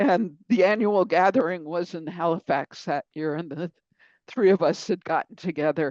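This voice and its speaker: In a dry, close sound with no echo, a woman with a plain, everyday voice talks at a moderate pace, fairly low in pitch with ordinary pitch variation. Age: 60s. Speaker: author and consultant. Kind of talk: interview.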